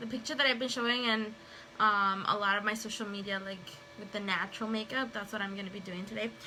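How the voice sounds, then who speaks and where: Over noticeable background noise, a woman talks at a very fast pace. Her pitch is fairly high. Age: 30s. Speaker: makeup seller and stay-at-home mother. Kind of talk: casual livestream talk to camera. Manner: chatty, rambling.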